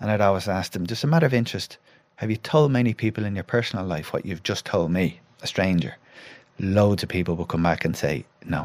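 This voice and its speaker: A man with a Dublin accent speaks at a very fast pace with lively intonation. His pitch is fairly low, on a very clean recording with a silent background. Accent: Irish (Dublin). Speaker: former footballer, pundit and psychotherapist. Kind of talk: casual chat.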